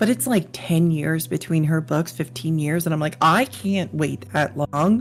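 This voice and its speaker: Very wide pitch swings mark this fairly slow delivery, which has hardly any pauses and noticeable background noise. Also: woman, very deep, low pitch for a woman. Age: 50s. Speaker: podcast host, fantasy cartographer and illustrator. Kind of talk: casual chat.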